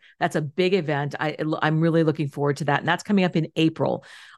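Against a quiet background, a woman talks at a very fast pace. Her voice is very deep and low, with ordinary pitch variation. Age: 50s. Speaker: life coach and entrepreneur. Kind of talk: interview conversation.

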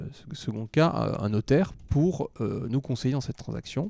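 The speaker is a man. His tone is dark and mellow. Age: 30s. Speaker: real estate investment director. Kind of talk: interview.

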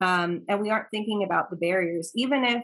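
In an American accent, this speaker has an unremarkable speaking voice with ordinary pitch variation. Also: woman. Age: 30s. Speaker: local politician. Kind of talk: interview.

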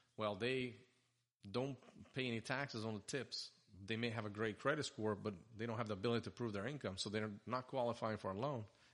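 A medium-pitched man in a Portuguese accent, fairly quick in pace and fairly even in intonation. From Brazil (Sao Paulo). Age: 40s. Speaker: mortgage lender, business owner. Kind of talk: casual interview.

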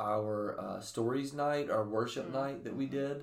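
A man speaks at a very slow pace with an American accent and ordinary pitch variation. Audible room echo surrounds his voice. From US South, Bible Belt. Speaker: young adult ministry podcast co-host. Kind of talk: casual chat.

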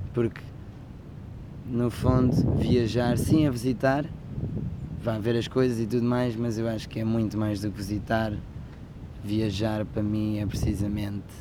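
Over noticeable background noise and audible room echo, a man with a European Portuguese accent speaks at a medium pitch and a fairly slow pace, with long, frequent pauses. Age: 20s. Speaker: travel podcaster. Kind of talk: casual monologue. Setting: outdoors under a sunshade. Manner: animated.

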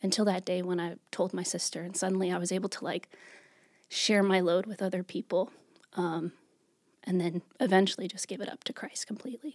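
Her voice is an ordinary speaking voice. The woman talks at a fairly quick pace with fairly even intonation. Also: medium pitch for a woman. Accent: American. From New York. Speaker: church youth worker. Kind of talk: faith testimony interview.

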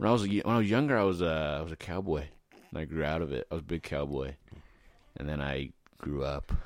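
Speaking very fast with long, frequent pauses, a man has a very deep, low pitch and vocal fry. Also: ordinary pitch variation. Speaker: podcast host. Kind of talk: casual chat.

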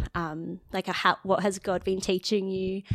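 A plain, everyday voice, a woman at medium pitch on a very clean recording with a silent background. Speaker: government lawyer. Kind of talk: casual chat.

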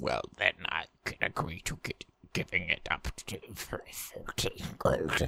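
Someone puts on a raspy character voice at a fairly slow pace. The sound is dry and close, with no echo. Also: man. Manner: put-on character voice.

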